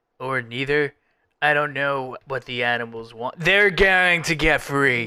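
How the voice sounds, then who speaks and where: A man speaks at a fairly high pitch and a fairly slow pace. He uses a put-on character voice. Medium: actual play. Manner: surfer-style casual, rambling.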